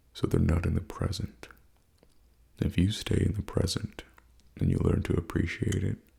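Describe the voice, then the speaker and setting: A man with a very deep, low pitch talks in a relaxed tone with ordinary pitch variation over noticeable background noise. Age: 20s. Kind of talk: ASMR life advice talk. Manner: soft-spoken, relaxed.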